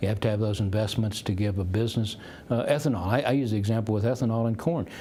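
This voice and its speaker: In a room with audible echo, a man with a fairly low pitch and a dark, mellow, somewhat breathy tone speaks at a very fast pace, with ordinary pitch variation and very even loudness. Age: 60s. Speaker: economist and futurist. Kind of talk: interview. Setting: conference.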